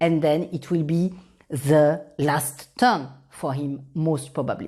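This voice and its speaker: On a very clean recording with a silent background, a woman with a French accent speaks at a very slow pace. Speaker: professor. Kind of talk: conference presentation.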